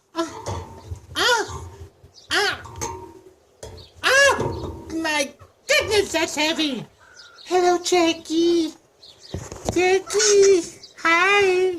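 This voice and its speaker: Cartoonish character voice at an extremely high pitch, very slow pace, and long, frequent pauses. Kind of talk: comedy puppet sketch. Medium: puppet. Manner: doting, playful.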